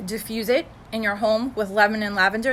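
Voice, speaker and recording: Noticeable background noise is heard behind a woman. Her medium-pitched voice is monotone and flat. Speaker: essential oil seller. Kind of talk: live video tutorial. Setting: live video stream. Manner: fast; casual, with many fillers.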